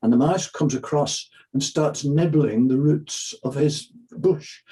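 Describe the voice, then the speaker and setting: With a dark, mellow tone and a somewhat breathy quality, this voice proceeds fairly slowly, its pitch varying in an ordinary way. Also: man. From Northern Ireland, Belfast. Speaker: sports psychologist and children's book author. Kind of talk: interview; storytelling.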